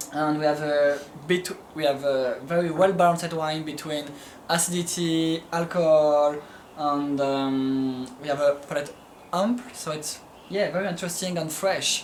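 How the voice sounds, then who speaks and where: The speaker has a French accent and a moderate pace. Noticeable background noise runs underneath. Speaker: winemaker. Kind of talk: casual chat. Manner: halting.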